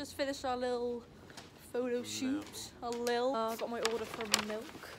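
A woman speaks at a high pitch. Noticeable background noise runs beneath her. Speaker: vlogger. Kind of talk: casual vlog chat. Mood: cheerful, apologetic about chips. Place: street. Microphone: phone near.

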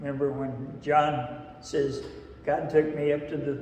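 Someone speaks at a very slow pace, with audible room echo and light background noise. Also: man. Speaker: lay preacher. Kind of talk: sermon. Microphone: camera far.

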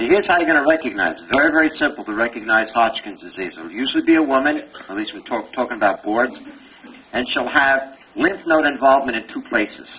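Amid noticeable background noise, a man with a Brooklyn accent talks at a fairly quick pace. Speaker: pathology professor giving board review lecture. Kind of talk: lecture. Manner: animated, conversational.

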